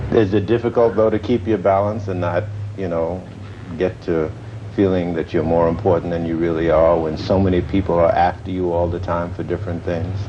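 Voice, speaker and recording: Noticeable background noise sits under a man speaking fairly quickly in a very deep, low voice. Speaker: TV interviewer. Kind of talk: TV interview questions.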